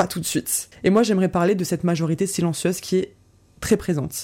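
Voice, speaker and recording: On a very clean recording with a silent background, a woman speaks at a fairly quick pace and a medium pitch in a dark, mellow tone. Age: 20s. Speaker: therapist and podcast host. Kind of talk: personal monologue podcast.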